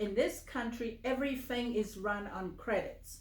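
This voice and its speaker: Amid audible room echo, a woman talks very slowly with a fairly high pitch and ordinary pitch variation. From Samoa. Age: 70s. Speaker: finance trainer. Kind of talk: casual interview. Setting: home office.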